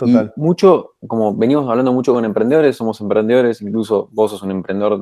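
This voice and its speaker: Very fast, a man speaks at a medium pitch with ordinary pitch variation and a dark, mellow tone. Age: 30s. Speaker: podcast co-host. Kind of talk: interview.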